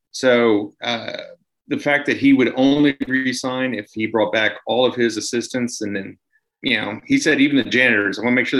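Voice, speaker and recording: This man has an unremarkable speaking voice and an American accent. His pitch is medium, his pace moderate, and his intonation fairly even. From US, Washington DC area. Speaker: radio and podcast host. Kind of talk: casual sports chat.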